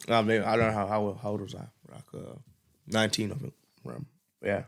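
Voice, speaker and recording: A man talks fairly quickly at a fairly low pitch, with vocal fry. His loudness swings widely while his pitch varies in an ordinary way. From East London, England. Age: 20s. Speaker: rapper and illustrator. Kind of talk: casual interview chat.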